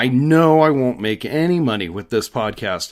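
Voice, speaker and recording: Here a man with a plain, everyday voice talks at a moderate pace with ordinary pitch variation. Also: very clean recording, silent background. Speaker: podcast host, reptile dealer. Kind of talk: solo podcast monologue.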